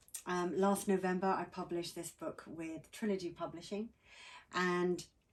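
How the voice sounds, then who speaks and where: Speaking with a British accent, a woman keeps a moderate pace and a fairly low pitch. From England. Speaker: author. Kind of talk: interview. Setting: outdoors by a campfire at a lake.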